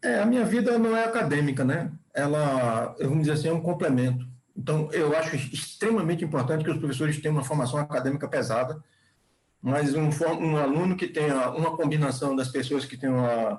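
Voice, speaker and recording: A man talks fairly quickly in a fairly high, somewhat breathy voice, with ordinary variation in pitch. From Bahia, Brazil. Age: 60s. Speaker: chemical engineer and professor. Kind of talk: podcast interview. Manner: halting, with repetitions.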